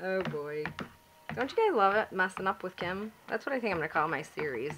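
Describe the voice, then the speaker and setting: A woman at a medium pitch and moderate pace, with very wide pitch swings and noticeable background noise. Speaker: home soap maker. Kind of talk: tutorial. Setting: at home. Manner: soft-spoken.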